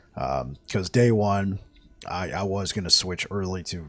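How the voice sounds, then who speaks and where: A man talks at a fairly slow pace in a very deep, low voice with ordinary pitch variation. Music plays in the background. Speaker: gaming streamer. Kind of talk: gameplay commentary. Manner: halting, repeats words; casual.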